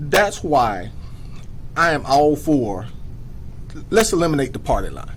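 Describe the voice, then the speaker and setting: Speaking at a fairly slow pace with long, frequent pauses, a man uses a fairly high pitch with very wide pitch swings, and audible room echo is present. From US South, DeKalb County, Georgia. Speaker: retired police officer, sheriff candidate. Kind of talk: political talk show interview.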